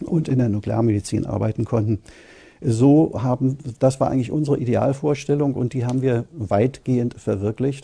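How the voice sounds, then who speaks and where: Somewhat breathy and dark, mellow in tone, a man speaks at a moderate pace against a quiet background. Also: ordinary pitch variation. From Germany. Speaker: radiologist. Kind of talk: interview answer. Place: studio.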